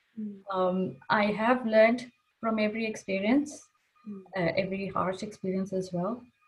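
A woman's somewhat breathy, medium-pitched voice at a moderate pace, with big swings in loudness. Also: ordinary pitch variation. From Kuwait. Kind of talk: casual interview.

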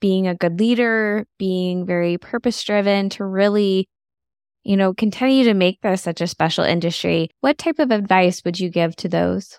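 A plain, everyday voice with ordinary pitch variation, dry and close with no echo, on a very clean recording against a silent background. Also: woman. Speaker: podcast host. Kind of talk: interview conversation.

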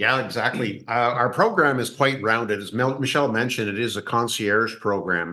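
A man's bright, sharp tone, with hardly any pauses. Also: medium pitch for a man, ordinary pitch variation, moderate pace. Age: 70s. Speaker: fitness coach. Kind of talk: interview.

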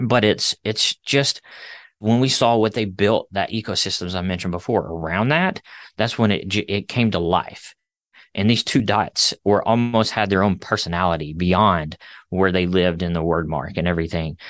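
A man with an American accent and a plain, everyday voice, fairly low in pitch, with ordinary pitch variation at a moderate pace, in a dry, close sound with no echo and a quiet background. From Alabama, US South. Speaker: brand designer. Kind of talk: interview.

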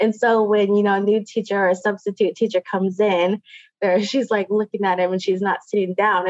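In a dry, close sound with no echo, a woman with a plain, everyday voice speaks at a medium pitch and moderate pace with fairly even intonation. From Puget Sound, Washington (Muckleshoot). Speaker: Native language teacher. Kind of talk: interview.

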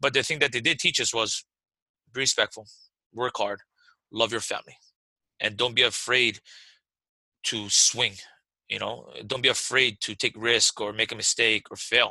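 A man's medium-pitched voice, bright and sharp, in a monotone with flat intonation, at a moderate pace with long, frequent pauses, dry and close with no echo over a quiet background. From Hawaii, Waimanalo. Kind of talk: interview.

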